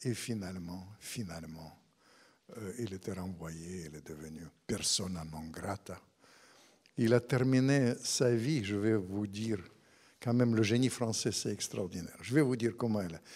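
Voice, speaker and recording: A man speaks in a Russian accent at a fairly low pitch and a fairly slow pace, with ordinary pitch variation. His loudness swings widely, and he takes long, frequent pauses. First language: Russian (speaking French). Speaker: author; guest. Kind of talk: public book talk. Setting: stage with audience. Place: hall. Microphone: handheld.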